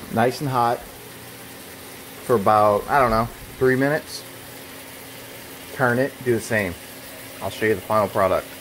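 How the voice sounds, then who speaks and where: The speech moves at a moderate pace with long, frequent pauses and light background noise. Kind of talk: casual cooking vlog chat. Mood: joking, relaxed. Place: kitchen. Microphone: phone near.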